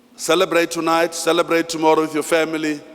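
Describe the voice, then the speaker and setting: Talking at a moderate pace with a fairly high pitch, a man is heard against noticeable background noise. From South Africa, Free State (Thaba Nchu). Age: 60s. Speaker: master of ceremonies. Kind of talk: ceremony speech. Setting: hall with audience. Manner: formal.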